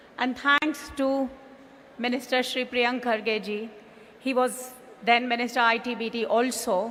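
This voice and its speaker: Over noticeable background noise, a woman with a high pitch talks at a fairly slow pace in a monotone, flat intonation, leaving long, frequent pauses. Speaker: business executive. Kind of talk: conference speech. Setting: stage with audience.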